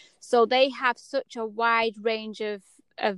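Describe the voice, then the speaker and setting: With a dry, close sound and no echo, a woman speaks in a fairly high voice with fairly even intonation. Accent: English. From England. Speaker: horse clipping artist. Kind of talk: interview. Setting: podcast.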